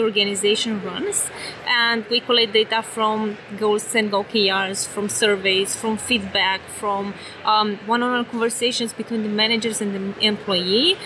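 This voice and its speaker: A woman with a Romanian accent, fairly high pitch and ordinary pitch variation at a fairly slow pace, over noticeable background noise. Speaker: tech company executive. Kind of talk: interview. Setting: conference booth.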